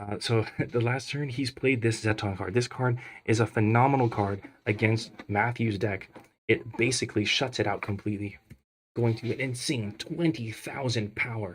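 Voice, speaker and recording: Speaking at a moderate pace, a man with a medium pitch sounds somewhat breathy. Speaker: card game tournament commentator. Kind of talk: live commentary. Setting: live tournament stream. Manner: animated.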